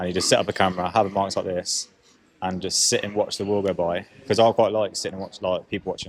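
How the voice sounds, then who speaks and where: Mumbling at a very fast pace, a man speaks in a fairly low pitch with monotone, flat intonation. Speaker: podcast co-host. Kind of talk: casual chat. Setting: coffee shop.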